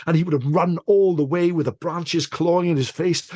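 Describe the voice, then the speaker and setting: A somewhat breathy male voice at a fairly quick pace, with a dry, close sound and no echo. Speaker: storyteller. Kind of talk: folk tale storytelling. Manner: atmospheric, measured narration.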